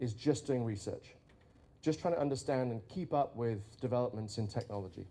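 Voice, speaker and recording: This man has a strong British accent and a dark, mellow tone. He talks at a fairly quick pace with lively intonation. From Britain. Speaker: futurist, conference speaker. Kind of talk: conference keynote talk.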